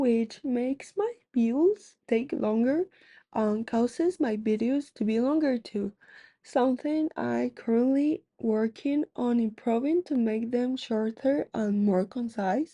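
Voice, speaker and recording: In a dry, close sound with no echo and a quiet background, a woman with a non-native accent speaks at a very slow pace in a high pitch, with a dark, mellow tone and very even loudness. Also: ordinary pitch variation. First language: not English. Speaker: gaming YouTuber. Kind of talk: casual vlog commentary.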